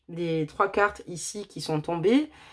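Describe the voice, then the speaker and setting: A loud woman's voice at a very slow pace. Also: very clean recording, silent background. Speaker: tarot card reader. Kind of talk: tarot reading.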